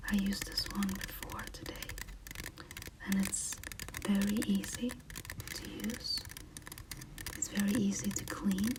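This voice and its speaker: The speech moves at a fairly slow pace, broken by long, frequent pauses. Noticeable background noise runs underneath. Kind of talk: ASMR tea tasting talk to camera. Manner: soft-spoken, whispered.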